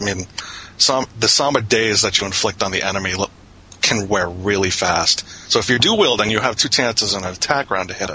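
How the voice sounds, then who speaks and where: Noticeable background noise behind a man's fairly low voice, fairly quick, with ordinary pitch variation. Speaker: online game player. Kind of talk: casual chat.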